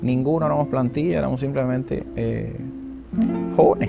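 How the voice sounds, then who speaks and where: A man speaks with a Cuban accent at a fairly high pitch. Music plays in the background. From Sagua la Grande, Cuba. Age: young. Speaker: archaeologist; radio and television announcer. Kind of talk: interview answer.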